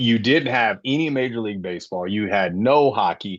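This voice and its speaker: Against a quiet background, a man talks at medium pitch and a fairly quick pace. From Florida, St. Petersburg. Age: 40s. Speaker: sports podcast host. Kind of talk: casual chat.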